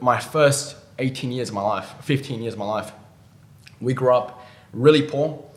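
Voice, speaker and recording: Against noticeable background noise and audible room echo, a man speaks in a monotone, flat intonation. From Australia. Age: 20s. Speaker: ecommerce entrepreneur. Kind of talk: interview. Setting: in-person studio interview. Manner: halting.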